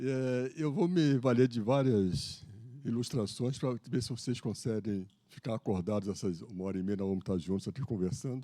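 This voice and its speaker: A man's medium-pitched voice with a Rio de Janeiro accent, a dark, mellow tone, lively intonation and a moderate pace. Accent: Carioca Brazilian Portuguese. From Brazil, Rio de Janeiro. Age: 70s. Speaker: lecturer, retired naval officer. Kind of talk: lecture. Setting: stage with audience. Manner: casual, joking.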